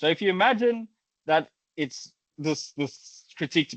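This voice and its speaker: A man speaks with a South African accent. His intonation is lively. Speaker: academic researcher. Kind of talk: lecture. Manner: halting, with frequent repetitions.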